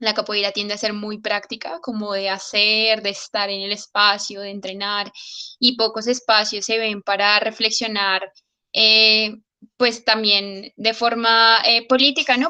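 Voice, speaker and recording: A woman with a Colombian accent, fairly high in pitch, bright and sharp in tone, at a fairly slow pace with flat, monotone intonation. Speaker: capoeira practitioner. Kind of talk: online meeting discussion. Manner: hesitant, many fillers.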